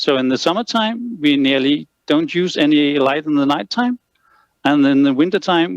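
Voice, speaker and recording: With a Danish accent, a man talks at a moderate pace in a fairly high pitch with lively intonation. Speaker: lighting consultant. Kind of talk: lecture. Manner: halting, many fillers.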